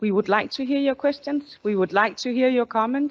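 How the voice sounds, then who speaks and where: A woman's voice in a Danish accent, dry and close with no echo. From Denmark. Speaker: company executive. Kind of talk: corporate town hall presentation. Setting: stage with audience, also streamed.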